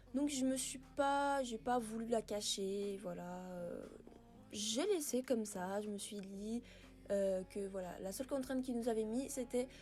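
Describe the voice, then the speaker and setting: A woman at a fairly high pitch and fairly slow pace, ordinary pitch variation, with music in the background. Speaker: gaming youtuber. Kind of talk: gameplay commentary. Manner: hesitant, many filler words.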